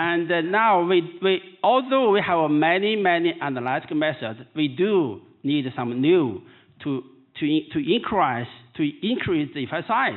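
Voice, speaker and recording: A man in a Chinese accent talks at a fairly slow pace, his high voice carrying lively intonation. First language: Mandarin Chinese. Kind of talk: keynote lecture. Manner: halting.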